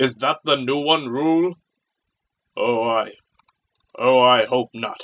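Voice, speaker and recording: A man puts on a character voice at a medium pitch, with fairly even intonation. His pace is fairly slow, broken by long, frequent pauses. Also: dry, close sound with no echo. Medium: audio drama. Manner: curt, authoritative.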